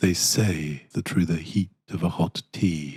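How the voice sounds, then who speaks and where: This man talks at a fairly slow pace. His voice sits very deep and low. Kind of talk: parody guided meditation. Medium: solo performance. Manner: slow, soothing, deadpan.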